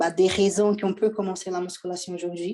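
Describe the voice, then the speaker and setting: The voice has a dark, mellow tone and a Portuguese accent. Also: woman. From Brazil. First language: Portuguese (speaking French). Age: 20s. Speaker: bodybuilding athlete and coach. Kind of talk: podcast interview. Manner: hesitant, many fillers.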